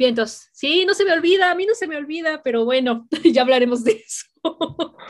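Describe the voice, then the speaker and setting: Lively intonation carries speech in a Mexican accent with hardly any pauses. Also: woman, high pitch for a woman, moderate pace. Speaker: podcast host. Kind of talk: casual chat.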